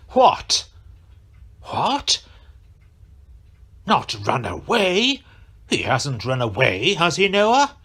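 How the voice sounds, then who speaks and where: Putting on a character voice, a man speaks in a high pitch with very wide pitch swings, at a very slow pace with long, frequent pauses. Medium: audio drama. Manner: pompous.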